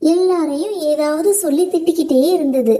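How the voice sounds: A woman speaks at a moderate pace in a high-pitched voice with a dark, mellow tone and ordinary pitch variation.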